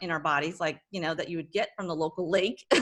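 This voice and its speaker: Talking very fast, a woman with an American accent sounds animated, her tone bright and sharp. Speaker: wellness company founder. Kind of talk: podcast interview.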